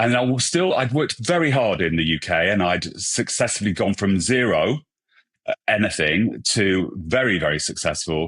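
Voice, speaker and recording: A British accent with lively intonation at a moderate pace, over a quiet background. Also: man. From England. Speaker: hairstylist and brand ambassador. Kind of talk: podcast interview. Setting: podcast recording.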